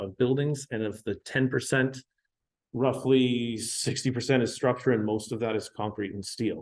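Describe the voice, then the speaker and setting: A man with a western Canadian accent speaks at a medium pitch in a monotone, flat intonation. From Canada, Vancouver Island. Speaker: building enclosure engineer. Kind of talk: technical presentation. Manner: slow; halting, many fillers.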